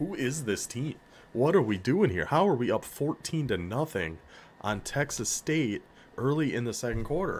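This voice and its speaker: A man with an American accent speaks with very wide pitch swings. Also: medium pitch for a man, moderate pace. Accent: northern US accent, slips through. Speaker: video game streamer. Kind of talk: gameplay commentary. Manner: animated.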